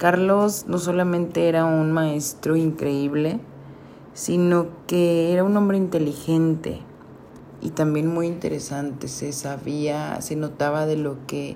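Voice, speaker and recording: A woman speaks at a very slow pace with a very deep, low pitch and fairly even intonation. Audible room echo can be heard. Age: 30s. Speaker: photographer. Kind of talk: solo podcast monologue. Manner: hesitant, many fillers.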